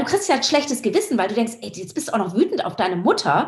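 A woman's high-pitched voice with very wide swings in pitch. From Hamburg, northern Germany. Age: 50s. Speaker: surfer and filmmaker. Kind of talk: interview conversation.

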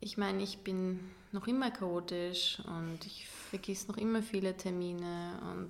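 Fairly slow speech from a woman at a medium pitch. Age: 20s. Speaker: art student and young mother. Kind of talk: interview, casual chat. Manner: hesitant, many fillers.

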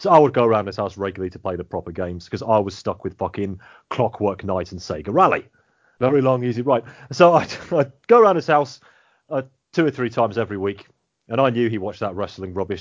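A man with an English accent, very fast pace and lively intonation. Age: 30s. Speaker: podcast host. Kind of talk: casual chat.

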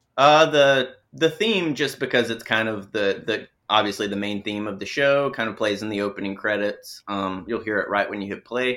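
With a Southern US accent, a man speaks at a moderate pace and a medium pitch, his tone bright and sharp, his pitch variation ordinary, and hardly any pauses, on a very clean recording with a silent background. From US South, small-town Alabama. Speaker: film composer. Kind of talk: interview.

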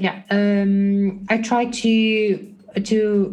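A woman with a non-native accent speaks in a somewhat breathy voice. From Belarus. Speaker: recruiter. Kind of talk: casual interview chat. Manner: halting, many fillers and repetitions.

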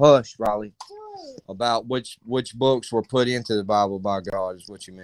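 This man has a medium pitch and fairly even intonation at a moderate pace. His loudness swings a lot. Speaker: caller into livestream. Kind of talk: casual Bible discussion.

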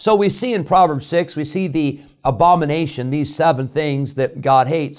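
In a plain, everyday voice, a man talks at a moderate pace with a fairly high pitch and ordinary pitch variation, recorded very cleanly over a silent background. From US Midwest, Illinois. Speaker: pastor. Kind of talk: radio devotional with sermon. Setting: church studio radio broadcast.

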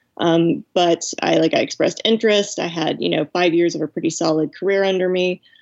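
A woman with an unremarkable speaking voice talks at a fairly quick pace, fairly low in pitch with ordinary pitch variation. The sound is dry and close with no echo, over a quiet background. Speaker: novelist. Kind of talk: interview.

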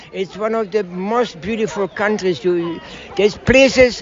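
A man talks over noticeable background noise. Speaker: veteran parkrunner. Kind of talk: interview. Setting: outdoors. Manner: excitable.

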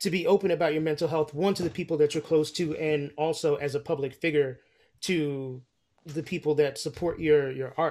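Here is a man with an American accent and a plain, everyday voice, fairly high in pitch with fairly even intonation. He talks at a fairly quick pace on a very clean recording with a silent background. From New York. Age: 40s. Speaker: podcast host. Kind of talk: interview.

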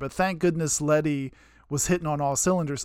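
Talking at a fairly quick pace, a man uses an animated tone and ordinary pitch variation on a very clean recording with a silent background. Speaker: podcast co-host, sports fan. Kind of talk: casual chat. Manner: animated, excitable.

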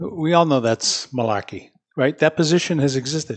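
In an American accent and an unremarkable speaking voice, a man with fairly high pitch talks at a moderate pace with ordinary pitch variation. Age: 60s. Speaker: city mayor. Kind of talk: casual chat. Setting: studio.

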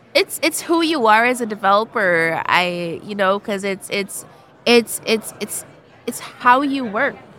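Noticeable background noise sits behind a woman who speaks at a fairly slow pace with a fairly high pitch and lively intonation. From Jamaica. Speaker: developer advocate. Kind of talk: casual interview chat.

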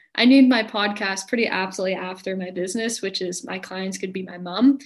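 A woman speaks at a moderate pace with an American accent, her voice somewhat breathy and her pitch varying in an ordinary way. The recording is very clean, with a silent background. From US, small mountain town. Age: young. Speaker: spiritual mentor. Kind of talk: interview. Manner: calm.

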